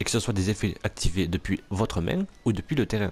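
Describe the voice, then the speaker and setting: The recording is very clean, with a silent background. A man talks at a fairly low pitch. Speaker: gaming let's play youtuber. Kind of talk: let's play commentary. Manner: fast; halting, many fillers.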